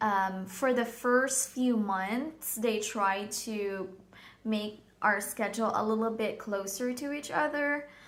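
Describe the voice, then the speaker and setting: Very slow speech, ordinary pitch variation, and audible room echo. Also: woman, fairly high pitch for a woman. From Philippines. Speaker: vlogger. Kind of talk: personal storytelling vlog. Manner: hesitant, many fillers.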